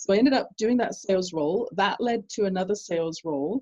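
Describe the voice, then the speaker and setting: A woman with a British accent talks at a fairly quick pace, her voice somewhat breathy. Her pitch is medium, with ordinary variation. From England. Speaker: business coach. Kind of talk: interview. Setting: call.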